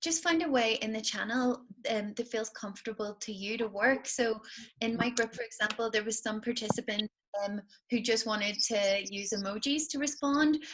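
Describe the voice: A woman's fairly high, fairly bright voice. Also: ordinary pitch variation, moderate pace.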